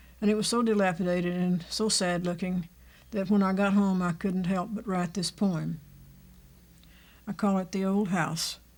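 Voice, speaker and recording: A woman with a Texan accent speaks at a moderate pace and medium pitch, her intonation monotone and flat, with long, frequent pauses on a very clean recording with a silent background. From Texas, Fort Worth. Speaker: family elder. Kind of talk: oral history interview. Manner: halting.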